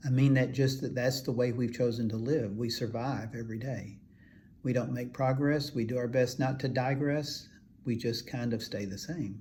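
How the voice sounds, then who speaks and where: Somewhat breathy and dark, mellow in tone, a man of medium pitch speaks at a moderate pace with fairly even intonation in audible room echo. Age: 70s. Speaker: functional medicine doctor. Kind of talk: health advice talk to camera. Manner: halting, many filler words.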